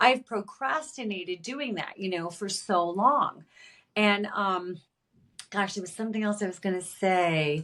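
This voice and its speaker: Bright and sharp, a woman's animated voice sits at medium pitch with ordinary pitch variation and moves at a fairly slow pace. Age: 60s. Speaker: author and creative mentor. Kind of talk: podcast interview.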